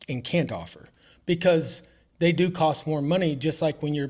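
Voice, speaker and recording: This man speaks at a moderate pace with a high pitch. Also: very clean recording, silent background. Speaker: roofing contractor. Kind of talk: casual interview. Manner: mumbling.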